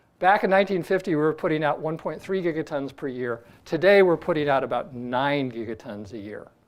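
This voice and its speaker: An ordinary speaking voice from a man, fairly high in pitch, with lively intonation, hardly any pauses and a quiet background. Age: 60s. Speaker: astronomy professor. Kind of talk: lecture. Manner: casual, with filler words.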